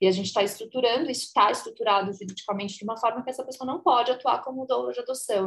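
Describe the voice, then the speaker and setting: This woman talks at a very fast pace with hardly any pauses. Her voice is fairly high, with ordinary pitch variation. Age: 30s. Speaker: adoption doula and educator. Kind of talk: casual interview chat.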